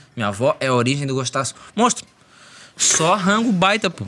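A man speaks at a moderate pace with lively intonation. His pitch is fairly high. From Florianópolis, Brazil. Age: 20s. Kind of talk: casual chat. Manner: animated.

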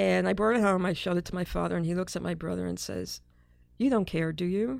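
A woman with an American accent talks on a very clean recording, the background silent. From Brooklyn, New York City. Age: 50s. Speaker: psychologist and media executive. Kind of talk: interview conversation.

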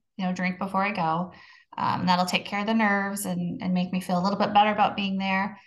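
Somewhat breathy and very fast, a woman speaks at a medium pitch with monotone, flat intonation. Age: 40s. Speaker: podcast co-host on sobriety, manager at work. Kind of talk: casual chat.

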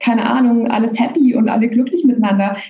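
A woman's high voice at a fairly quick pace, with fairly even intonation and noticeable background noise. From Germany, Bavaria (Augsburg). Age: 30s. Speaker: coach and therapist. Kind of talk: casual chat.

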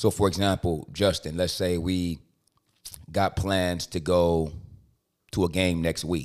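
A man with a very deep, low pitch, monotone, flat intonation, a fairly slow pace, and long, frequent pauses, on a very clean recording with a silent background. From Compton, Los Angeles. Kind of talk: casual chat.

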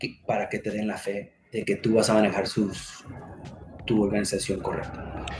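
Over noticeable background noise, a man with a fairly low pitch speaks at a moderate pace with monotone, flat intonation. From US, raised from age two, born in Mexico. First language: English (speaking Spanish). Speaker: security manager, military veteran. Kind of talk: interview.

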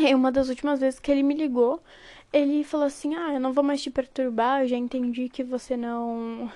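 On a very clean recording with a silent background, the voice has a dark, mellow tone and monotone, flat intonation. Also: woman. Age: 20s. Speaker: podcast host. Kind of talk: casual monologue.

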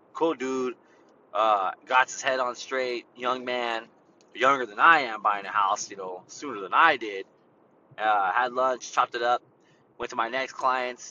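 A man with a medium pitch speaks at a fairly slow pace, with ordinary pitch variation. His loudness swings widely, and long pauses come often. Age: 30s. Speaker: podcast host, real estate agent. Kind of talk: casual monologue.

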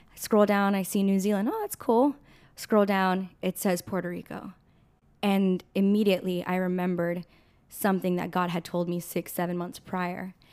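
A woman speaks in an American accent at a medium pitch. Her pace is moderate and her intonation is monotone and flat. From Southern California. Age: 20s. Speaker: church missionary. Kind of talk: casual interview chat.

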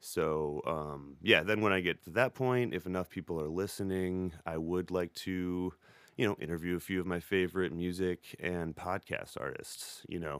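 A man's very deep, low voice with an American accent, moderate pace, ordinary pitch variation and hardly any pauses, on a very clean recording with a silent background. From US Midwest, Beloit, Wisconsin. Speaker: podcast host. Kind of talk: casual monologue. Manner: halting, many fillers.

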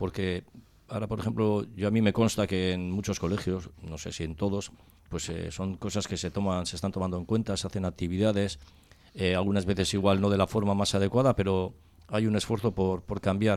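Fairly low in pitch, a man talks fairly quickly with fairly even intonation. He has an unremarkable speaking voice. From Spain, Cáceres (Extremadura). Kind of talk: casual radio panel discussion.

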